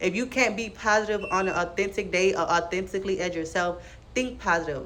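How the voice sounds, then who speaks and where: A woman talks at a fairly quick pace, with room echo audible. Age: 20s. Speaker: vlogger giving life advice. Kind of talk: casual monologue to camera. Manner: fast; animated.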